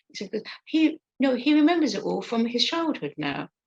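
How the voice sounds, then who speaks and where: A woman with vocal fry at a moderate pace, in a dry, close sound with no echo. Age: 60s. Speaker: stroke support group leader and stroke survivor. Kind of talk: interview, personal account. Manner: halting, many fillers.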